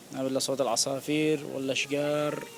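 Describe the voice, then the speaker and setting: Over noticeable background noise, a man speaks quietly at a moderate pace in a flat monotone. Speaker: vlogger. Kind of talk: casual walking vlog. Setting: outdoors in a park. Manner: quiet, lowered voice; hesitant, many fillers.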